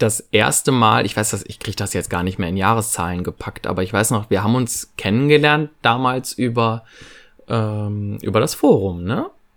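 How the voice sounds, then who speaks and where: Recorded very cleanly against a silent background, a man speaks at a moderate pace. His voice is fairly low with ordinary pitch variation. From western Germany, Lower Rhine (Viersen). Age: 30s. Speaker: fan podcast co-host. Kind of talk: casual chat.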